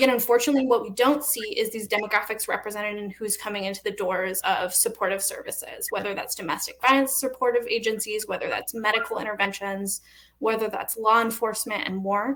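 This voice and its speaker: A woman talks at a very fast pace with hardly any pauses, a fairly high pitch and fairly even intonation, against noticeable background noise. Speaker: nonprofit program manager. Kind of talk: panel presentation. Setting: virtual panel with interpreters.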